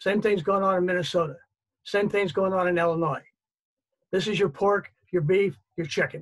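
High-pitched man at a moderate pace, with long, frequent pauses, very even loudness and fairly even intonation over a quiet background. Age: 70s. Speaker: reader and family caretaker; panelist. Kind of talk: panel discussion. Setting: video call. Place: home room. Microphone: video call.

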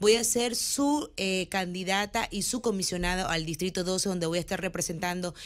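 Over a quiet background, a woman talks at a moderate pace and a medium pitch with ordinary pitch variation. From Nicaragua. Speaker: businesswoman and political candidate; candidate. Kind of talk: campaign interview. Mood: earnest, persuasive. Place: studio. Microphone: studio mic.

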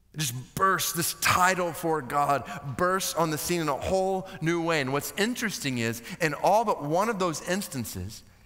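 A man talks at a moderate pace with hardly any pauses, his pitch high and his intonation lively. Music plays in the background. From United States. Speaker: preacher, seminary guest speaker. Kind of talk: sermon preached to a seminary chapel audience. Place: stage. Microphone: headset.

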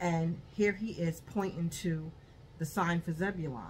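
This woman has a very deep, low pitch and a somewhat breathy voice. Her intonation is fairly even, with light background noise behind her. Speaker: haul vlogger. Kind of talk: casual vlog chat. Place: home room. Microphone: phone near.

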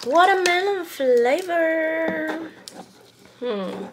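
There is light background noise as a woman speaks at a high pitch. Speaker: taste-test vlogger. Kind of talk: casual vlog chat. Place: home room. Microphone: camera far.

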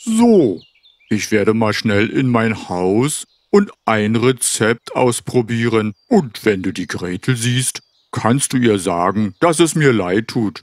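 The speaker uses a cartoonish character voice at a fairly slow pace. The recording is very clean, with a silent background. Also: man, medium pitch for a man. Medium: puppet. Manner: pleading, then grateful.

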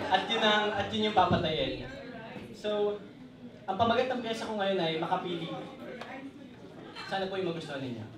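The speaker moves at a fairly quick pace, with ordinary pitch variation and long, frequent pauses. There is audible room echo and noticeable background noise. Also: man, high pitch for a man. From Philippines. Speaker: spoken word poet. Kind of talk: spoken word performance; casual stage introduction. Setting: stage with audience. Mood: intense, grave. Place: cafe.

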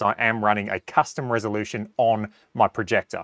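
A man in a quiet background, dry sound with no echo. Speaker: golf simulator reviewer. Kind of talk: tutorial. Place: home room. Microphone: lapel.

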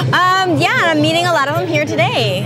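Someone speaks at a fairly quick pace with clear music in the background. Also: woman. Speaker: guest. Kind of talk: interview answer. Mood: cheerful, playful, laughing. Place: open country. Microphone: lapel.

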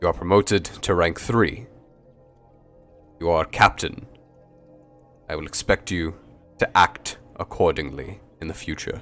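A put-on character voice from a man, very deep and low, at a moderate pace with long, frequent pauses and faint music in the background. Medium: actual play. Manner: brusque, forceful, clipped orders.

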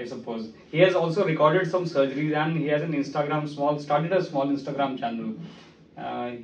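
A man with an Indian accent at a fairly quick pace, ordinary pitch variation, and audible room echo. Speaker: laparoscopic surgeon and trainer. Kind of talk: casual interview introduction. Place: office.

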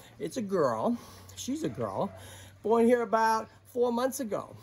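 A man speaks at an extremely high pitch. His pace is fairly slow, with light background noise. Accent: Boston. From Boston, USA. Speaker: tortoise sanctuary host. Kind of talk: casual talk to camera. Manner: enthusiastic. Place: garden. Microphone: phone near.

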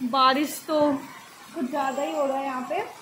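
Light background noise is audible. A woman talks over it. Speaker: vlogger. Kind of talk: casual vlog chat. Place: home room. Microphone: phone near.

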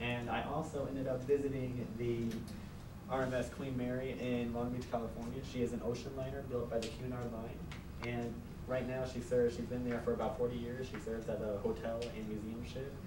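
A man with an American accent talks at a fairly quick pace with monotone, flat intonation over noticeable background noise. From Phoenix, Arizona. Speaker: college student. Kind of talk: class speech. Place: classroom. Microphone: camera far.

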